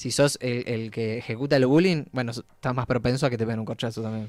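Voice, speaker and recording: A man talks in an ordinary speaking voice. His pitch is medium, with ordinary pitch variation. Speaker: radio host. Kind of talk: casual chat.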